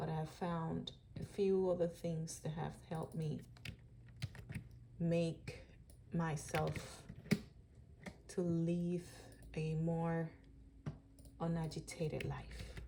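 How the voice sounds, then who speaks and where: Speaking at a very slow pace, a woman with a Dominican accent leaves long, frequent pauses. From Dominican Republic. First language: Spanish. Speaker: vlogger. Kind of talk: personal video diary. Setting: at home. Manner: unscripted, hesitant.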